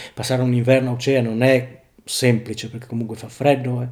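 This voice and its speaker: A man's voice at medium pitch. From Friuli, northeastern Italy (Tarcento). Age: 40s. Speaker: factory worker. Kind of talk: casual interview chat.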